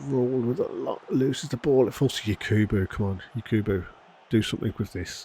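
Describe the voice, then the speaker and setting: A man speaks quietly in a somewhat breathy voice. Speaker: gaming youtuber. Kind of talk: gameplay commentary. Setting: home recording at night. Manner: quiet, subdued; animated.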